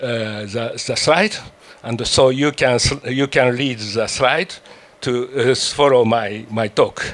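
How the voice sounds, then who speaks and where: Very slow speech in a French accent over noticeable background noise. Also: man, medium pitch for a man, ordinary pitch variation. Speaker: symposium speaker. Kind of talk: conference presentation. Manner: halting, many fillers and restarts.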